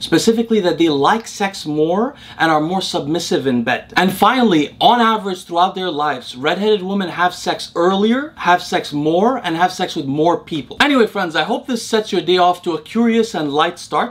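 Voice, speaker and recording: A man talks at a moderate pace. He hardly pauses at all. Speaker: science explainer host. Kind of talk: educational commentary. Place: home room.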